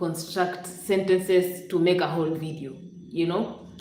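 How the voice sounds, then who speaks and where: A woman with a fairly low voice speaks at a moderate pace, with audible room echo and noticeable background noise. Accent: Kenyan. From Western Kenya. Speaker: YouTube live streamer. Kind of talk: casual live stream chat. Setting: live stream, home.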